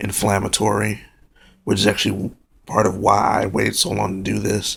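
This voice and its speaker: Soft-spoken, a man talks at a moderate pace. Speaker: vlogger. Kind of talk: casual monologue to camera. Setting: at home, late at night.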